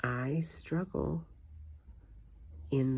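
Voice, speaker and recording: A woman is speaking. Her voice has vocal fry. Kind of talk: casual talk to camera. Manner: reflective, personal.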